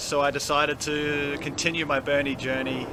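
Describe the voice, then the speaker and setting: Amid noticeable background noise, a man with an Australian accent speaks at a fairly high pitch. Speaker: campaign volunteer. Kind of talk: street interview. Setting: outdoors.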